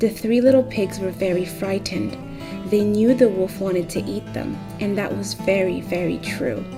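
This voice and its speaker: A soft-spoken woman talks at a moderate pace. Music plays behind her. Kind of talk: read story. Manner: soft-spoken, ASMR.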